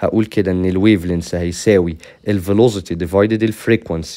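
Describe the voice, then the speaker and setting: A man with an Egyptian accent talks at a fairly quick pace in a dark, mellow tone, with ordinary pitch variation. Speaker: physics teacher. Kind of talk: tutorial. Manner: casual, conversational.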